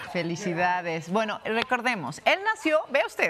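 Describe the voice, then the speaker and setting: With noticeable background noise behind her, a woman speaks at a moderate pace in a fairly high voice with very wide pitch swings. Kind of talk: television news co-anchor banter. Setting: studio.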